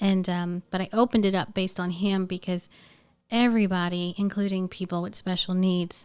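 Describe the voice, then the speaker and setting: In an American accent, a woman talks at a medium pitch with flat, monotone intonation, on a very clean recording with a silent background. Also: fairly quick pace. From US South, New Orleans, Louisiana. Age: 40s. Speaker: audiologist and speech pathologist. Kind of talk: podcast interview.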